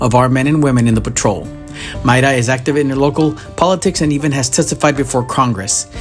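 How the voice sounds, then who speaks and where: A man talks at a very fast pace in a medium pitch with ordinary pitch variation. Music plays in the background. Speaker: podcast host, retired border patrol agent. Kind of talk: podcast interview host.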